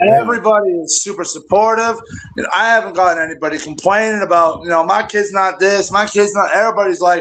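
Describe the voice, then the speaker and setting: Loud and very fast, a man speaks at a high pitch with ordinary pitch variation. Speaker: youth football coach. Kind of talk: casual chat.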